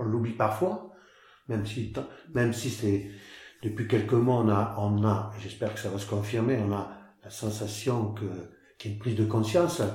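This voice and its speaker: At a moderate pace, a man with a fairly low, somewhat breathy voice and a dark, mellow tone speaks with ordinary pitch variation and long, frequent pauses, with audible room echo. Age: 60s. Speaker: farmer. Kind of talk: interview. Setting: on his farm. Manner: halting, frequent repetitions.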